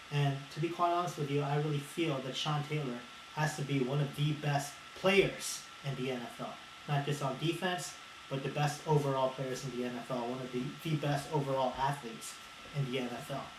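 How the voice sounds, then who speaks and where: This man's voice sits fairly high, and his intonation stays fairly even. Audible room echo and noticeable background noise are present. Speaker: video blogger. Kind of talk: unscripted monologue. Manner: halting, with stutters.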